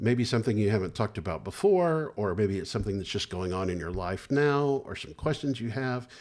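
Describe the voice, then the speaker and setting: A man with a normal speaking voice and lively intonation at a fairly quick pace, on a very clean recording with a silent background. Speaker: licensed clinical social worker, therapist. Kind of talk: educational talk to camera about therapy. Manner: calm, reassuring, conversational.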